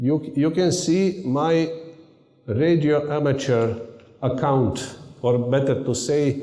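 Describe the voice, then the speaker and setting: With a Serbian accent, a man speaks at a very slow pace and fairly high pitch, his loudness very even and his pitch variation ordinary, amid audible room echo and noticeable background noise. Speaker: university lecturer and radio amateur. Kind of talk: conference talk. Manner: halting.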